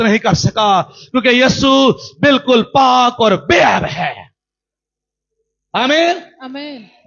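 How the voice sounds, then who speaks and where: This man's voice is extremely high in pitch. It rises and falls with ordinary variation. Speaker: pastor. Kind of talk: sermon preaching to a congregation.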